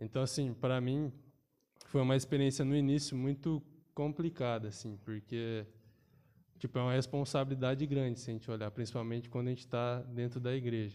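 A man's medium-pitched voice, dark and mellow in tone, with fairly even intonation at a fairly quick pace. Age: 20s. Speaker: university student and church altar server. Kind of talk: casual chat.

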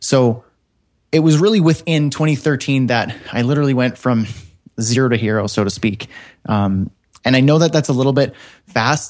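A man with a Canadian accent speaks at a moderate pace and medium pitch, with ordinary pitch variation, very even loudness, long, frequent pauses and a quiet background. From northern Canada. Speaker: web developer and online course creator. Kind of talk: interview.

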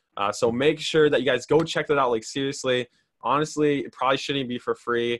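Fairly even intonation in a plain, everyday voice, at a fairly quick pace. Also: man, fairly high pitch for a man. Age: young. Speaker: young entrepreneur hosting a live stream. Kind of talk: casual interview on a live stream. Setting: live video call.

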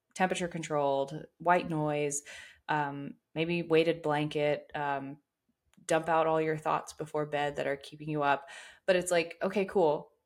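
A woman's very deep, low voice, monotone and flat in intonation, at a fairly slow pace on a very clean recording with a silent background. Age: 20s. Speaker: fitness and nutrition coach. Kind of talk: casual chat.

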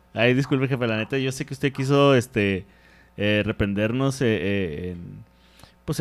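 A man speaks at a medium pitch and a fairly slow pace. His pitch varies an ordinary amount. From Mexico, Ciudad Juárez. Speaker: comedian and podcast co-host. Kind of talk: casual chat.

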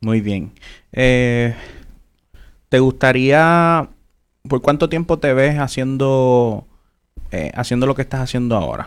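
A man's medium-pitched voice with ordinary pitch variation, a very slow pace, and long, frequent pauses. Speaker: podcast host. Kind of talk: interview. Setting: live stream.

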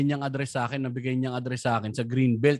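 The man's delivery is animated. Behind him the background is silent, and the recording very clean. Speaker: stand-up comedian. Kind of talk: casual chat.

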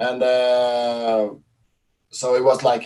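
A man speaks at medium pitch with a Swedish accent. Behind him the background is quiet. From Sweden. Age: 40s. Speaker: CrossFit event organizer. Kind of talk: casual interview. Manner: halting.

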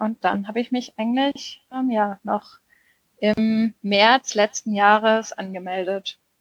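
Recorded dry and close with no echo, a woman speaks at a very slow pace with fairly even intonation. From southwestern Germany, near Freiburg. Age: 20s. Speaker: ultracycling racer. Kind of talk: casual chat.

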